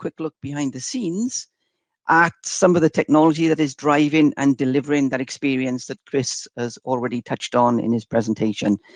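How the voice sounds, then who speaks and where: Lively intonation marks this man's fairly high-pitched, fairly quick speech, heard in a dry, close sound with no echo. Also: quiet background. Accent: Welsh. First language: Welsh. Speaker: software demo presenter. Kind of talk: webinar product demo. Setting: online webinar. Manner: hesitant, many fillers.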